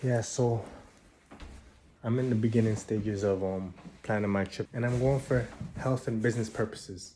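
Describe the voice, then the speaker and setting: The voice moves at a moderate pace with fairly even intonation and long, frequent pauses, and there is noticeable background noise. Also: man, medium pitch for a man. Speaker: vlogger. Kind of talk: casual vlog talk to camera.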